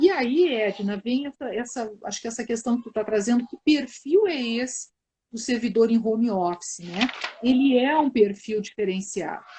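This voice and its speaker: A woman at a fairly high pitch and moderate pace, with ordinary pitch variation and big swings in loudness. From southern Brazil, Porto Alegre. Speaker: team development consultant in public service. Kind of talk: live webinar conversation.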